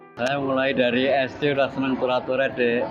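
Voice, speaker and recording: A man at medium pitch speaks at a moderate pace in a monotone, flat way. Noticeable background noise and audible room echo fill the recording. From Central Java (Wonogiri). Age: 60s. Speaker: street painter. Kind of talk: interview. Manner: halting, many fillers.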